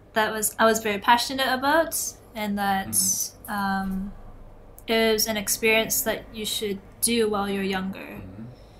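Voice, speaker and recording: In a Canadian accent, the speaker has an unremarkable speaking voice, talking at a fairly slow pace with fairly even intonation. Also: woman, fairly high pitch for a woman. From Canada, Toronto. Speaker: illustrator. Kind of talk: interview.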